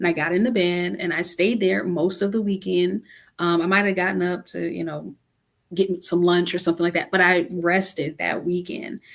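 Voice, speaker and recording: A woman talks with vocal fry and fairly even intonation. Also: fairly low pitch for a woman, moderate pace. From US Midwest (Cleveland, Ohio). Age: 40s. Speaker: author. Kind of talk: interview conversation.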